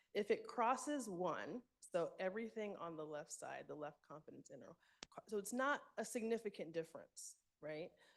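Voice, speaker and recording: A woman uses a normal speaking voice at a moderate pace with lively intonation. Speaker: medical speaker presenting research. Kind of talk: conference presentation.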